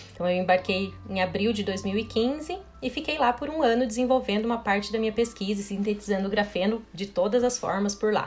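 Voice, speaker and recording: Speaking at a moderate pace with hardly any pauses, a woman has a fairly high pitch and ordinary pitch variation, with noticeable background noise behind her. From Brazil, western Paraná. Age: 30s. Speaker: chemical engineering professor. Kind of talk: interview.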